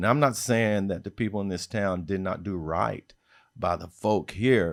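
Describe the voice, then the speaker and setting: A man with an American accent, fairly low in pitch, at a moderate pace with ordinary pitch variation, on a very clean recording with a silent background. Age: 60s. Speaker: civil rights leader. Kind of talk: interview. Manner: halting, many fillers.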